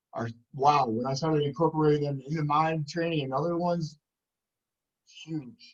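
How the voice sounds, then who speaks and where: Speaking with a New York accent, a man uses a fairly high pitch and fairly even intonation at a moderate pace, with long, frequent pauses. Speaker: podcast host and PE teacher. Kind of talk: casual chat. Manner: loud.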